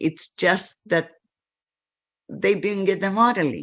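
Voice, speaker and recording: Her voice fairly low and edged with vocal fry, a woman talks at a fairly slow pace. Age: 70s. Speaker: spiritual teacher. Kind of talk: video message to followers.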